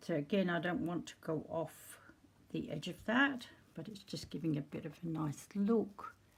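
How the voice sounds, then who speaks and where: A woman speaks in a fairly low, somewhat breathy voice. Her loudness swings widely. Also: lively intonation. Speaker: crafter demonstrating junk journal making. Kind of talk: tutorial. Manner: casual, unhurried.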